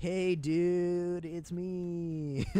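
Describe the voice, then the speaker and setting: Put-on character voice at a middle pitch, flat and monotone in intonation. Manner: laid-back, casual.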